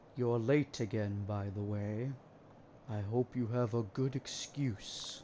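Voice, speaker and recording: A man puts on a character voice at medium pitch and a fairly slow pace. His intonation is fairly even, with clear background noise. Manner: stern, scolding.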